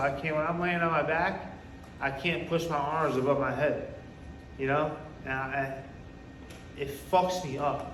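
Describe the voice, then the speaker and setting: With a New York accent, a man talks at a fairly slow pace in a fairly high pitch, his intonation fairly even, amid noticeable background noise and audible room echo. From New York (Poughkeepsie). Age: 30s. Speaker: recovery speaker. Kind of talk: testimony. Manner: casual, halting with repetitions.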